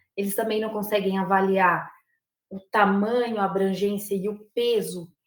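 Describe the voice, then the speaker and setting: A woman's medium-pitched voice with a rural São Paulo accent, flat and monotone, at a fairly slow pace. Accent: São Paulo countryside (caipira). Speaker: university professor, lobbying expert. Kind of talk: lecture.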